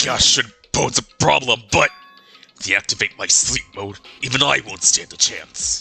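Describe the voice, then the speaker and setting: A man's put-on character voice, fairly low in pitch, at a moderate pace over faint background music. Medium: game stream.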